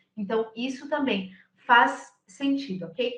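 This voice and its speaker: Very slowly, a woman speaks in a high voice with lively intonation. Room echo is audible. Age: 20s. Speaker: recruiter. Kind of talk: lecture.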